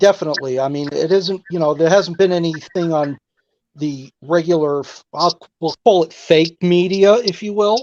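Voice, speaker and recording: With a New York accent, a man speaks at a moderate pace in a high pitch, the sound dry and close with no echo. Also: ordinary pitch variation, quiet background. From New York, Long Island. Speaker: caller. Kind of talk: call-in chat.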